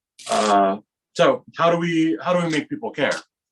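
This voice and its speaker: A man with an American accent and a bright, sharp tone speaks at a fairly slow pace, his pitch swinging very widely. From Los Angeles, southern California. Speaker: magician. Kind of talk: lecture. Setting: video call.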